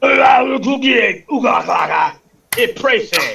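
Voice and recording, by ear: Fairly slow delivery in a put-on character voice. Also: man.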